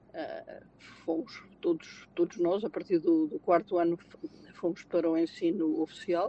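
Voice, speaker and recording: Fairly slow female speech in a dry, close sound with no echo. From Portugal, Lisbon. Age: 60s. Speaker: retail manager and auditor. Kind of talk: interview conversation. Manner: halting, many repetitions and fillers.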